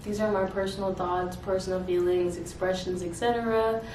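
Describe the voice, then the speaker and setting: Ordinary pitch variation and a fairly quick pace over noticeable background noise. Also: woman. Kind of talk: poetry reading. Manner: casual, hesitant.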